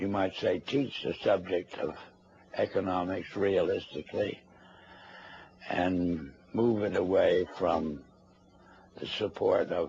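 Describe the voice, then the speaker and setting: The pace is very slow. Long pauses come often. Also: man. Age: 80s+. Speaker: former congressional committee research director. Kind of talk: interview answer.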